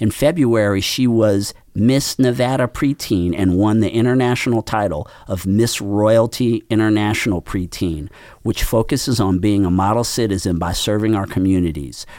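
An ordinary speaking voice comes from a man with a fairly low pitch and ordinary pitch variation. He talks at a moderate pace in a very clean recording with a silent background. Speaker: podcast host and nonprofit chamber director. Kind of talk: radio interview show.

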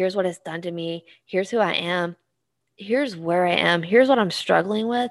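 A woman with an American accent and a plain, everyday voice, medium in pitch, at a moderate pace. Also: ordinary pitch variation. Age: 30s. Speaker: marketing professor. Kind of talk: casual chat.

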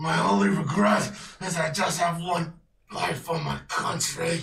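A man puts on a raspy character voice, pitched high, with lively intonation at a moderate pace. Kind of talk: tabletop game master voicing a villain. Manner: taunting, menacing, cocky.

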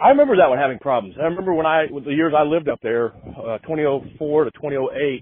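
A man with a fairly high pitch and ordinary pitch variation talks at a fairly quick pace in an ordinary speaking voice. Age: 40s. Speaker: podcast host. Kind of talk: casual chat. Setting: phone call.

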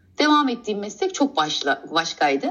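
Woman with a high pitch, very wide pitch swings and a moderate pace. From Istanbul, Turkey. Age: 40s. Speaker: guest sharing life story. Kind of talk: personal testimony. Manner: halting, many hesitations.

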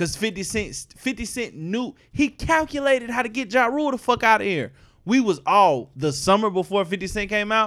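Animated and lively in intonation, a man speaks at a high pitch and a moderate pace with hardly any pauses. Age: 20s. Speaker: podcast host. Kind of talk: casual chat. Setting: studio.

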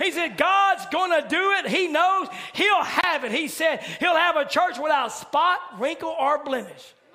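A man talks in a raised, projected voice at an extremely high pitch, fairly slowly, with an animated tone and ordinary pitch variation. There is noticeable background noise. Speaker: preacher. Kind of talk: sermon. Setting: church midweek service. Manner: animated, exhortative, building to call-and-response style exclamations.

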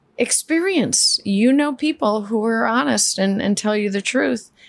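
With a New York accent, a woman speaks at a fairly high pitch. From New York City (Queens). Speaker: flooring company CEO. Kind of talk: interview.

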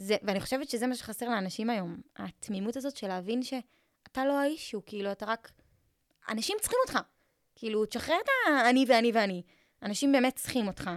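A woman at a very fast pace with long, frequent pauses, a fairly high pitch and ordinary pitch variation, recorded dry and close with no echo. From Israel, Eilat. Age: 20s. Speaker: social media content coach. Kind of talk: casual interview.

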